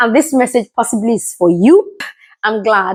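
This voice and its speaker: This woman speaks with a Yoruba accent. Her pace is moderate. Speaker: motivational video creator. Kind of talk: motivational talk to camera.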